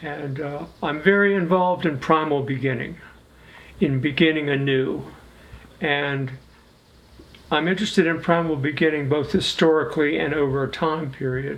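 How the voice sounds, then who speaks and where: Taking long, frequent pauses, a man with a fairly high pitch speaks at a moderate pace with fairly even intonation amid audible room echo. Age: 80s+. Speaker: musician in an experimental collective. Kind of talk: interview.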